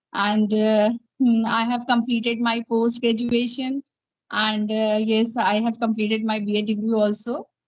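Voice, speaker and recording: A woman speaks in a somewhat breathy, fairly high voice that stays monotone and flat at a fairly slow pace. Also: very even loudness. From India, Uttar Pradesh. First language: Hindi. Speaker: English teacher and learner. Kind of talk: interview-style English practice conversation. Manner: halting, many fillers.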